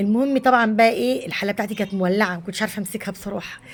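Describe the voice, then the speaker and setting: A woman speaks at a fairly quick pace in a medium-pitched, somewhat breathy voice with ordinary pitch variation. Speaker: home cooking vlogger. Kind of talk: cooking vlog narration. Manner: casual, conversational.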